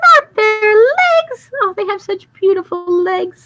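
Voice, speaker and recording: Squeaky and extremely high-pitched, a woman's put-on character voice moves at a fairly slow pace. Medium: read story.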